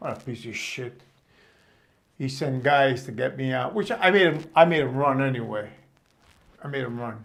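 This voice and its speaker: This voice has a New York accent and ordinary pitch variation, moving at a moderate pace. There are long, frequent pauses and big swings in loudness. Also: man, medium pitch for a man. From Brooklyn, New York. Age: 70s. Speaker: storyteller. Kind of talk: personal storytelling. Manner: halting.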